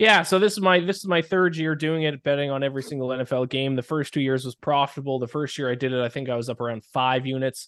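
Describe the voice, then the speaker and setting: Speaking at a very fast pace with hardly any pauses, a man uses a fairly high pitch and ordinary pitch variation. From Canada. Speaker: sports betting analyst. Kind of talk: casual chat.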